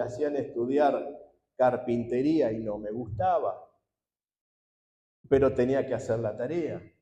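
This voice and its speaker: A man talks at a fairly slow pace in a dark, mellow tone of medium pitch, with ordinary pitch variation. Audible room echo surrounds him. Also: long, frequent pauses. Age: 60s. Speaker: pastor. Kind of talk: sermon.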